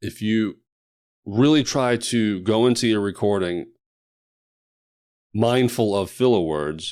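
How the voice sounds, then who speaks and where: In a very clean recording with a silent background, a man with a fairly low pitch speaks very slowly, taking long, frequent pauses, with ordinary pitch variation. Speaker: podcast producer and host. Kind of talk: solo podcast monologue. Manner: mumbles and stutters sometimes; casual, conversational.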